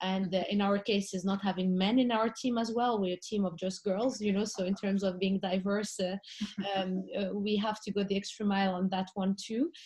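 A woman speaks at a moderate pace with monotone, flat intonation and very even loudness. Noticeable background noise sits behind her. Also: medium pitch for a woman. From Morocco. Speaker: art fair founder. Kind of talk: panel discussion.

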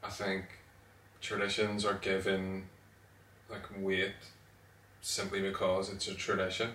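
In audible room echo, a man with a Northern Irish accent speaks at a fairly slow pace and a fairly low pitch, in a monotone, flat intonation, with long, frequent pauses. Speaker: podcast co-host. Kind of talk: casual chat.

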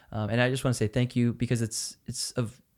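An American accent at a moderate pace, in a very clean recording with a silent background. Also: man. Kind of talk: casual faith discussion. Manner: animated.

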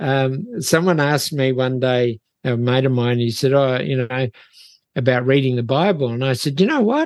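With a New Zealand accent, a man speaks at a moderate pace. His medium pitch shows ordinary variation. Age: 70s. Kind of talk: interview conversation. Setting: remote video call.

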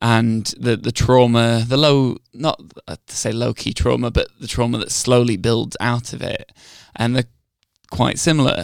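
A normal speaking voice moves at a fairly slow pace with fairly even intonation. Its loudness swings widely. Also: man, medium pitch for a man. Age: 20s. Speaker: film podcast co-host. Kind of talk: casual chat.

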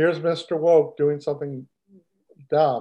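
A man speaks with an American accent. His pitch sits fairly high, and his tone is dark and mellow. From Texas. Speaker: podcast host. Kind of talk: casual chat.

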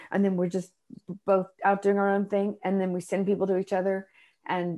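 A woman with an American accent has an ordinary speaking voice at a medium pitch. She speaks at a fairly quick pace against a quiet background. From Texas, Dallas and Austin. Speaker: stand-up comedian and motivational speaker. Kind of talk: casual interview chat.

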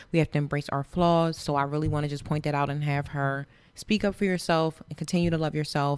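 A woman with an American accent talks at a very fast pace in a very deep, low voice with fairly even intonation. The recording is very clean, with a silent background. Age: 30s. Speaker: wine sponsor. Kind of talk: casual chat.

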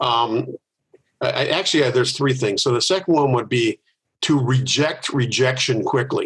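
An unremarkable speaking voice from a man with an American accent, medium pitch, ordinary pitch variation, very even loudness and a moderate pace. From US Midwest, Milwaukee, Wisconsin. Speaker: organizational consultant and author. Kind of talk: interview.

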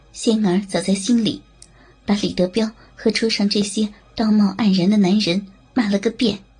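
A woman's medium-pitched voice with long, frequent pauses, fairly even intonation and very even loudness, with music in the background. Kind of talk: dramatic ASMR audio-drama narration. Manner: slow, intimate, theatrical, shifting between narrator and leering male character voices.

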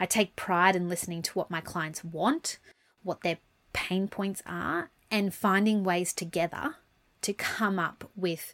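A woman with an Australian accent and fairly even intonation, in a very clean recording with a silent background. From Brisbane, Australia. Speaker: lawyer and podcast host. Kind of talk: casual monologue.

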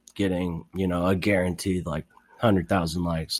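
On a very clean recording with a silent background, a man's voice sounds very deep and low. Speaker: radio host. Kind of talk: casual interview.

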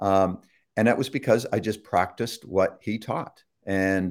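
A man speaks with a Canadian accent in an ordinary speaking voice. His pitch is fairly low, his intonation fairly even, and his pace moderate. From Toronto, Canada. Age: 60s. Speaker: author and son of a famous speaker. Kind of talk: casual interview. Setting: live online broadcast.

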